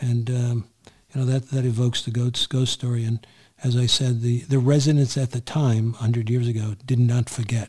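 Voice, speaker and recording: Somewhat breathy, a man's voice moves in monotone, flat intonation. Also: medium pitch for a man, moderate pace. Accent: American. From New York City, Queens. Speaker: podcast host. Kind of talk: interview.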